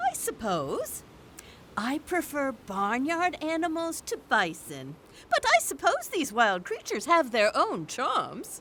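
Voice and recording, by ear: Using a put-on character voice, a woman speaks slowly at a high pitch with very wide pitch swings and a fairly bright tone.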